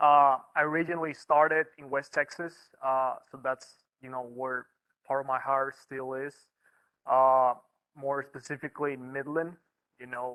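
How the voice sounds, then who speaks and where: A man's fairly high voice, bright and sharp in tone, flat and monotone in intonation, at a moderate pace with long, frequent pauses, big swings in loudness, and a dry, close sound with no echo. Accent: Mexican. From northern Mexico, Reynosa, Tamaulipas. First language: Spanish. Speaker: wildlife biologist. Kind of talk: presentation talk. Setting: meeting room with online audience. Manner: halting, many fillers.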